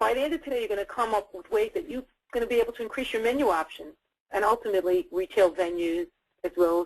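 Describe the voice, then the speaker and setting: In a New York accent, a woman speaks at medium pitch with lively intonation and a very fast pace. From US Northeast, New York City. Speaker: dietitian and food service consultant. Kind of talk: webinar presentation. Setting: webinar.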